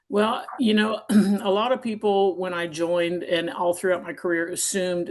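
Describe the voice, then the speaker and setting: With an American accent, a woman speaks at a fairly quick pace amid noticeable background noise. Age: 50s. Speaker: retired navy officer. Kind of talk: interview testimony.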